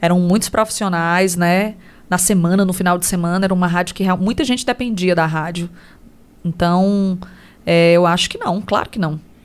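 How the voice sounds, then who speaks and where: With fairly even intonation and a moderate pace, a woman at medium pitch speaks in an unremarkable speaking voice on a very clean recording with a silent background. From Ceará, Brazil (Tamboril, Inhamuns). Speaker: radio host and businesswoman. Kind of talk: casual interview.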